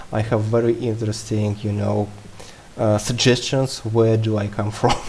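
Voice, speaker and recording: A man with a strong non-native accent and a fairly low pitch speaks at a moderate pace. His intonation is monotone and flat, with noticeable background noise. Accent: heavy non-native English. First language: not English. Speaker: game developer. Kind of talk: Q&A livestream chat.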